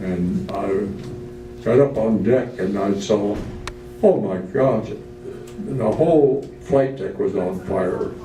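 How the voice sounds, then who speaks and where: Over music in the background, a man speaks at a very slow pace. His pitch is fairly low and his intonation lively. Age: 80s+. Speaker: retired Navy commander, World War Two veteran. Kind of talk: guest speaker talk about war memories. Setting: nursing home event.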